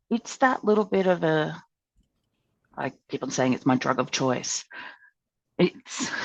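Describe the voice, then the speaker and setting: A woman with an Australian accent speaks at a fairly slow pace, her pitch swinging very widely. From Australia, Townsville. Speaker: ukulele club member. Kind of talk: podcast interview. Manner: loud; animated.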